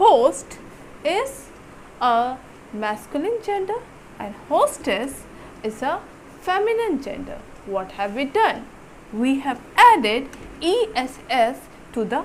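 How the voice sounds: A woman's high-pitched voice with big pitch swings, at a slow pace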